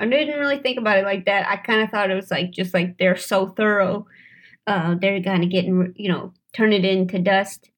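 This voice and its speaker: In a plain, everyday voice, a woman talks at a fairly quick pace with an American accent. Her pitch is medium with ordinary variation, and the background is quiet. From St. Louis, Missouri. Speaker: comedian and actor. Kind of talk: casual chat. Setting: studio.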